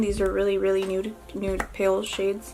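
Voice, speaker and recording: Music plays in the background as a woman with a slight Spanish accent speaks at a medium pitch, with audible room echo. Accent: slight accent from speaking Spanish. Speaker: beauty youtuber. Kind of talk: makeup tutorial. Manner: casual, hesitant with fillers.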